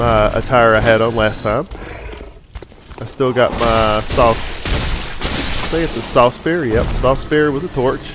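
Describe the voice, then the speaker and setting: With a Southern US accent, a man speaks very slowly in a relaxed tone against noticeable background noise. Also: medium pitch for a man, ordinary pitch variation. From US South. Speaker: gaming commentator. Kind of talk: gameplay commentary. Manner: casual, relaxed.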